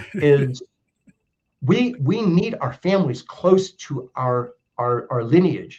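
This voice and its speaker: A man with an American accent speaks at a very slow pace, with long, frequent pauses. His voice is somewhat breathy and swings very widely in pitch. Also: fairly high pitch for a man. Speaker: mortgage lender. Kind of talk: podcast interview. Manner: halting.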